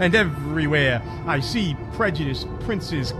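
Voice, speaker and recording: The speaker is a man. Music plays in the background. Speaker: slam poet. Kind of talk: slam poetry performance.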